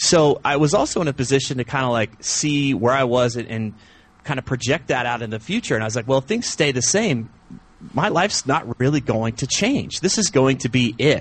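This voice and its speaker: A man with an American accent talks at a fairly quick pace in a medium pitch. His voice is somewhat breathy, with ordinary pitch variation. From US South. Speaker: men's coach and podcaster. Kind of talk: interview. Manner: animated.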